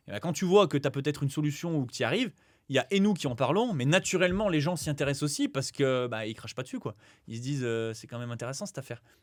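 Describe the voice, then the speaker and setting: A man talks at a very fast pace with lively intonation. His loudness swings widely. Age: 20s. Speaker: real estate investor and former PE teacher. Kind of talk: podcast interview. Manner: animated.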